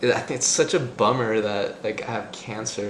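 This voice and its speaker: A man's medium-pitched voice with a Spanish accent, with audible room echo and noticeable background noise. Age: 20s. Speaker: returned missionary with cancer. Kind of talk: personal testimony. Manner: halting, many fillers.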